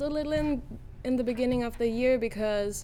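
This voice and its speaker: A woman speaks with fairly even intonation, and audible room echo surrounds her voice. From Germany. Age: 20s. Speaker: university student. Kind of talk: casual interview. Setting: studio.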